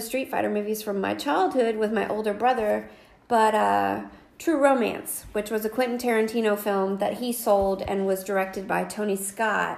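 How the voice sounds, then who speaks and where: A woman talks in a normal speaking voice, fairly high in pitch, with ordinary pitch variation and a moderate pace. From North Carolina. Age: 40s. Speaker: podcast co-host. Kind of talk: casual chat.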